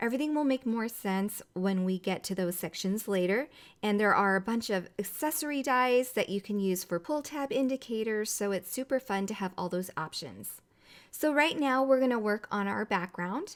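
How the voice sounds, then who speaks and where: A woman with a fairly high voice is speaking. The recording is very clean, with a silent background. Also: lively intonation. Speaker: cardmaking tutorial host. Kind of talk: tutorial. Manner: fast.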